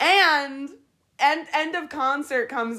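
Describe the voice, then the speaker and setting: A woman with an American accent uses a raised, projected voice with a bright, sharp tone. She speaks at a very slow pace in a very clean recording with a silent background. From Pennsylvania, Harrisburg. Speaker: podcast co-host, hotel supervisor. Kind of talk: casual chat.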